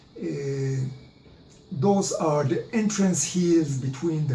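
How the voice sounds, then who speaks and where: A man with an Israeli accent speaks at a very slow pace, with audible room echo and noticeable background noise. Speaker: history presenter. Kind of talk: lecture. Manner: halting, many filler sounds.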